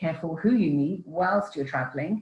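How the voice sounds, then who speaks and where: With a British accent, a woman speaks in a very deep, low voice that is somewhat breathy, her intonation lively. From England. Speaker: relocation coach and author. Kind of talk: online Q&A talk. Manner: hesitant with many fillers.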